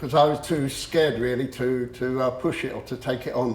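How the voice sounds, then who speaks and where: A man speaks at a moderate pace with a medium pitch. His intonation is monotone and flat, and the room echo is audible. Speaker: motivational speaker. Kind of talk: public talk. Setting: room with audience. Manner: halting.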